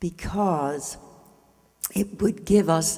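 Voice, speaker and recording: A woman's very slow speech with vocal fry, a dark, mellow tone and ordinary pitch variation. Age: 80s+. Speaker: spiritual speaker. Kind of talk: inspirational speech.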